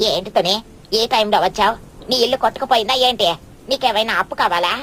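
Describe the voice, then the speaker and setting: A cartoonish character voice, female-sounding and fairly high in pitch for a woman, at a moderate pace, with clear background noise. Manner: showy, falsely sweet, boastful.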